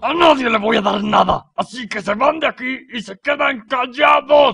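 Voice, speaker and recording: In an extremely high pitch, a man puts on a character voice and keeps a moderate pace. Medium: fan dub. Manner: blustering, defensive, then pleading.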